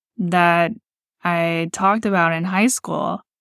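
On a very clean recording with a silent background, a woman with an American accent speaks at a fairly slow pace, with a fairly low pitch and fairly even intonation. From Texas Gulf Coast, Texas City. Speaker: podcast host, fashion brand founder. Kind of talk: solo personal storytelling podcast.

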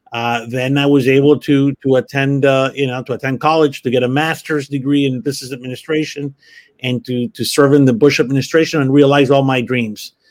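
The voice carries a Spanish accent and moves at a fairly quick pace. Its intonation is monotone and flat. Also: man, fairly high pitch for a man. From Miami, Florida. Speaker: university executive. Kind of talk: interview. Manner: halting, many fillers.

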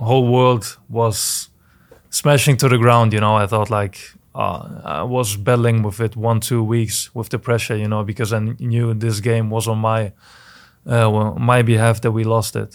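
A man with a German accent speaks at a moderate pace in a flat monotone, recorded very cleanly against a silent background. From Germany. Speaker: professional soccer player. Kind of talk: interview. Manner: halting.

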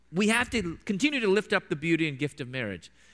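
Quick-paced and in a Midwestern accent, a man speaks with a high pitch, very wide pitch swings and a bright, sharp tone. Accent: General American (Midwest). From US Midwest, Chicago suburbs. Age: 40s. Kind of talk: church talk / lecture with Q&A. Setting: church with live audience.

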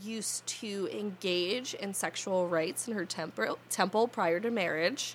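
A woman of medium pitch talks in an American accent with ordinary pitch variation. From New Jersey. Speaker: podcast host, soap maker and witch. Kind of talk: casual chat.

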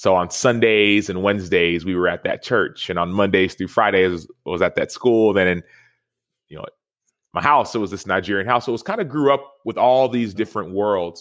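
With an American accent, a man talks at a moderate pace in a fairly low pitch with ordinary pitch variation, an unremarkable speaking voice on a very clean recording with a silent background. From Texas. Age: 30s. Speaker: football player. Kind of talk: casual chat.

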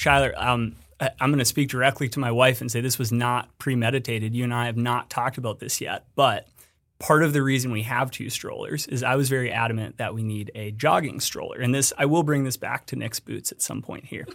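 On a very clean recording with a silent background, a man with an American accent and a normal speaking voice speaks at a medium pitch with fairly even intonation. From Colorado. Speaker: business development director at a small boot maker. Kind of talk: casual chat.

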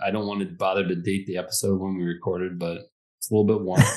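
A man with an American accent, fairly low in pitch and fairly quick, with monotone, flat intonation and big swings in loudness. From Detroit, Michigan. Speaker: podcast co-host. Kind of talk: casual chat.

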